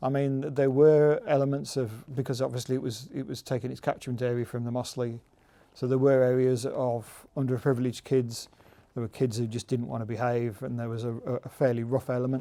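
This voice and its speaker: Speaking at a fairly quick pace, a man uses a medium pitch and a dark, mellow tone with monotone, flat intonation. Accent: West Midlands. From Staffordshire, England (Stafford, then Bloxwich). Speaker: local resident. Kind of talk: interview reminiscence.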